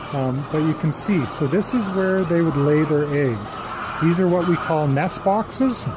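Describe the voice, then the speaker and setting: Fairly slow delivery with lively intonation, very even loudness, and noticeable background noise. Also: man, fairly high pitch for a man. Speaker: farmer. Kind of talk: virtual tour. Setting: barn. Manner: whispering.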